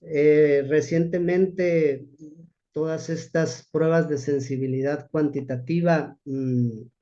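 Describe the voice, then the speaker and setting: With audible room echo, a man with a dark, mellow tone and a fairly high pitch speaks very slowly, his intonation fairly even. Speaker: rehabilitation physician. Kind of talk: lecture. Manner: halting.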